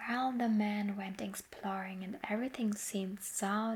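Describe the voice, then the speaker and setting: A somewhat breathy woman speaks in a medium pitch with monotone, flat intonation. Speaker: ASMR artist. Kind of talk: sleep story. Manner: soft-spoken, slow.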